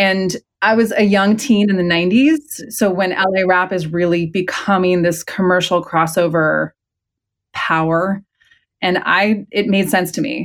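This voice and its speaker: In a very clean recording with a silent background, a woman with a Californian accent speaks fairly slowly at a medium pitch, with ordinary pitch variation. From San Francisco Bay Area. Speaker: historian and author. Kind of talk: interview.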